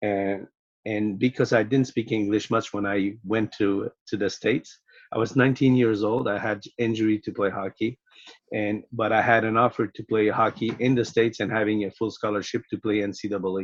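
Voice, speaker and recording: A man talks in a fairly low pitch with a Quebec accent. His intonation stays monotone and flat. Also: moderate pace, dry, close sound with no echo. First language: French. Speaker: sport psychologist. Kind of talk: podcast interview.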